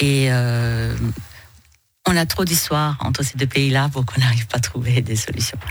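Fairly slow speech from a woman with a very deep, low pitch. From Iranian origin, raised in northern France. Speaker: business executive, chamber of commerce president. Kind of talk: radio interview. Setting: radio studio. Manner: hesitant, many filler sounds.

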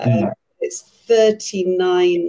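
A woman speaks at a fairly low pitch with a dark, mellow tone. Her voice is somewhat breathy. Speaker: women's network leader. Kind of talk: panel discussion. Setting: video call. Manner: enthusiastic.

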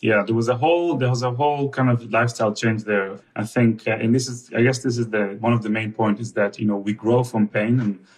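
A man with an Israeli accent, medium pitch, fairly even intonation, a fairly quick pace and hardly any pauses. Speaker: husband. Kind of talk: casual interview chat with wife.

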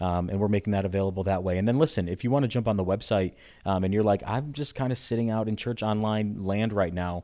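A man with an American accent speaks at a very fast pace in a fairly low pitch with a dark, mellow tone. His intonation is fairly even, and the background is quiet. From Connecticut. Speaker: pastor. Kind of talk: casual chat.

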